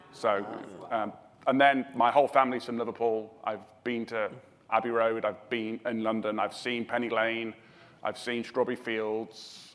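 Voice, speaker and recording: With a British accent, a man speaks at a moderate pace in a monotone, flat intonation. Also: medium pitch for a man. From southwest England. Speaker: emergency response expert, panelist. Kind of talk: panel discussion.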